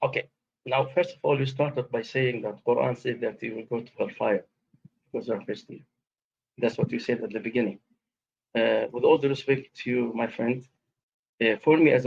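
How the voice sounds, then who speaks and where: A man talks at a fairly quick pace with long, frequent pauses and big swings in loudness. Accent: Arabic. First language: Arabic. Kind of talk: debate. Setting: live stream video call. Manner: formal, polite.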